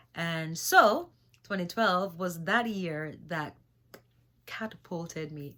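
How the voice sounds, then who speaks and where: The speaker talks fairly slowly with fairly even intonation and a slight Jamaican accent. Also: woman. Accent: slight Jamaican patois. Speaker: singer-songwriter and spiritual vlogger. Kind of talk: spiritual talk vlog. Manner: halting, many fillers.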